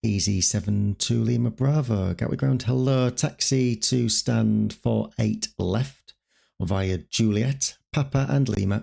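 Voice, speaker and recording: A man speaks very slowly in a northern English accent. His loudness stays very even. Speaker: streamer playing an air traffic controller. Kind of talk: simulated ATC radio calls mixed with casual stream chat. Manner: radio phraseology, crisp and formal on frequency.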